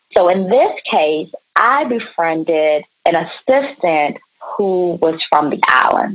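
Using a normal speaking voice, a woman with an American accent speaks at a medium pitch with lively intonation. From Maryland, Prince George's County. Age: 40s. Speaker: retired entrepreneur. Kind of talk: interview, life story.

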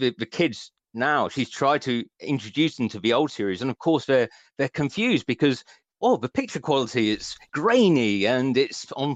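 A dry, close recording with no echo carries lively intonation and a slight West Country accent. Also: man. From West Country, England. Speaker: author. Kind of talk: radio interview, casual chat.

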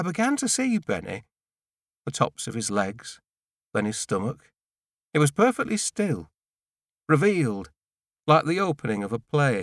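On a very clean, dry and close recording with a silent background and no echo, a man with a fairly high voice, very wide pitch swings and vocal fry talks at a moderate pace with long, frequent pauses. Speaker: audiobook narrator. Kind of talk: literary audiobook reading, first-person novel narration in a hushed, brooding tone. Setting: studio.

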